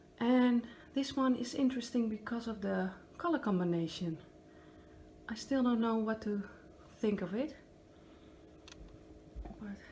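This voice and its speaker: Speaking with a Dutch accent, a woman with a fairly high pitch talks at a fairly slow pace, leaving long, frequent pauses over noticeable background noise, her pitch varying in an ordinary way. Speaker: acrylic pour artist. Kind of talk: casual talk to camera.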